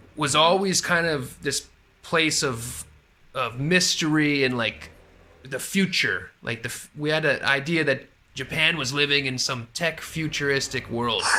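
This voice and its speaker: A man with an American accent speaks at a fairly slow pace and a fairly high pitch. His tone is bright and sharp, with ordinary pitch variation. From US, Florida. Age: 30s. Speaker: English conversation tutor. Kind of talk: casual chat.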